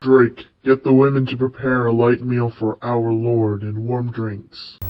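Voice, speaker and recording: A man's monotone, flat delivery at a medium pitch and a fairly slow pace. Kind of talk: overwrought fanfic reading. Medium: read story.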